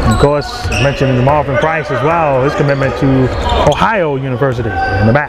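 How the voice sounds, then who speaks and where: Fairly quick, animated, energetic speech, dry with no echo, against loud background noise. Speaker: live basketball play-by-play commentator. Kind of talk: live sports commentary. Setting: gym, courtside. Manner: fast, clipped play-by-play, rattling off short bursts of action; animated, energetic, hyping big plays. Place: hall.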